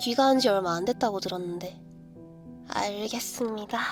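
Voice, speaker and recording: Music plays in the background. The speaker goes at a fairly slow pace with ordinary pitch variation. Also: woman. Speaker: virtual streamer doing live ASMR roleplay. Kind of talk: live improvised roleplay ASMR, casual talk.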